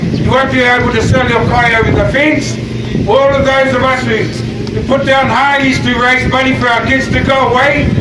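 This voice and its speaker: A man's voice comes through loud background noise, with audible room echo. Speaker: speaker. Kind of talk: rally speech. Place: street.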